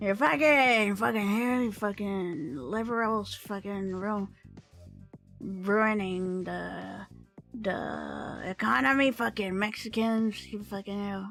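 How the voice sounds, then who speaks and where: In a put-on character voice with a Southern US accent, the speaker goes at a very slow pace over faint music in the background. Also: female-sounding voice, medium pitch for a woman. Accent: American Southern. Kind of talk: crude. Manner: mocking, aggressive, cursing.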